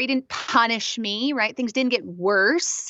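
Her pitch varies in an ordinary way as this woman speaks at a fairly slow pace. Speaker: author. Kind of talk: interview. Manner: halting word-finding.

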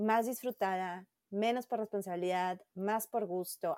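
A woman speaks at medium pitch and a fairly slow pace, with a dark, mellow tone and ordinary pitch variation. The recording is very clean with a silent background and a dry, close sound with no echo. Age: 40s. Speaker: photographer and academic researcher. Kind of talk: interview.

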